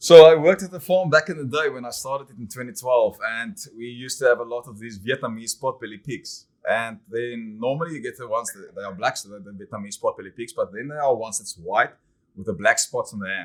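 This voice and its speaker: A man at medium pitch with a South African accent, a very fast pace and big swings in loudness. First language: Afrikaans. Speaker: winemaker. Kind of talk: casual interview chat. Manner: hesitant, many fillers.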